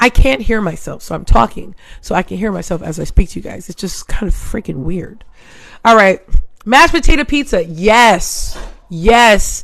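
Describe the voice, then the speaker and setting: A woman's animated, medium-pitched voice with vocal fry, at a moderate pace, with very wide pitch swings and big changes in loudness. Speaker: livestream host. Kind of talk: casual chat.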